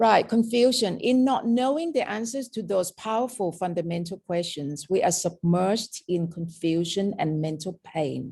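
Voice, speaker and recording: A woman speaks at a moderate pace with hardly any pauses, her pitch medium and her intonation lively. Her tone is dark and mellow, somewhat breathy, against a quiet background. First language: Thai. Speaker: meditation teacher. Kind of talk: dharma talk. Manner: informal.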